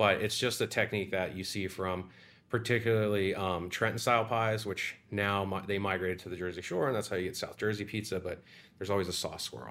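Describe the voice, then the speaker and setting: This is an ordinary speaking voice, a man's with an American accent and fairly low pitch. He talks at a fairly quick pace with fairly even intonation. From Florida (Sarasota). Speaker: pizza restaurant owner and chef. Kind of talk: casual interview.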